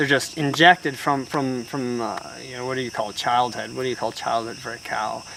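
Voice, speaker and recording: A man speaks fairly quickly with fairly even intonation and big swings in loudness, over noticeable background noise. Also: medium pitch for a man. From Alaska. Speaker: cyclist. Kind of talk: casual interview. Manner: halting.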